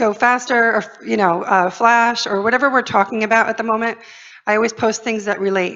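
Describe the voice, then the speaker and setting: A woman's fairly high voice with fairly even intonation. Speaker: social media marketing speaker. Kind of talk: conference presentation. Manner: fast.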